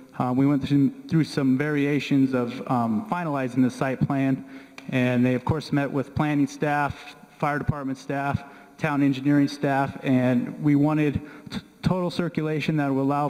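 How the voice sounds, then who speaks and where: Against a quiet background, a man with an unremarkable speaking voice and fairly high pitch talks at a moderate pace with fairly even intonation. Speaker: town planner; presenter. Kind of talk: public meeting presentation. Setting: public meeting room. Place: meeting room.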